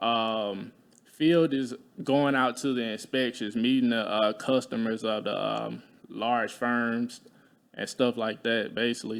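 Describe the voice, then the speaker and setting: In an Alabama accent, a man speaks fairly slowly at a medium pitch with fairly even intonation. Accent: Southern US (Alabama). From US South, Talladega, Alabama. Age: 20s. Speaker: insurance adjuster, military veteran. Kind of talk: casual interview.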